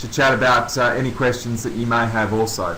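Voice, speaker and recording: A man's medium-pitched, monotone, flat voice with an Australian accent at a moderate pace, with audible room echo and noticeable background noise. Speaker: coaching consultant, former Olympian. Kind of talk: webinar presentation. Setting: online webinar.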